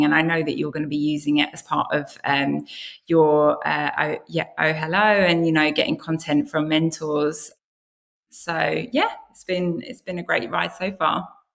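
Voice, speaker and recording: A woman speaks with a British accent at a moderate pace. Her pitch is very deep and low. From UK. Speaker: content marketer, former journalist. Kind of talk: podcast interview.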